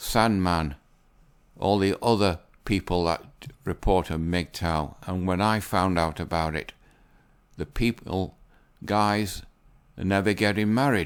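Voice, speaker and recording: A man with a very deep, low voice speaks fairly slowly, with long, frequent pauses and ordinary pitch variation. The recording is very clean, with a silent background. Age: 60s. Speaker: YouTuber commentator. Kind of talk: casual commentary reading articles. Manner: unscripted, some fluffs.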